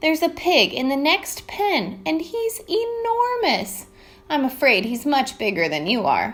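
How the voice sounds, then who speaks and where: A woman's high, put-on character voice at a moderate pace, with very wide pitch swings. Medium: read story.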